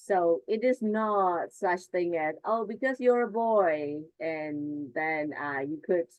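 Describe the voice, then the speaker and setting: Lively intonation in a woman's medium-pitched speech. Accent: Burmese. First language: Burmese. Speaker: teacher trainer. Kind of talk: online workshop presentation.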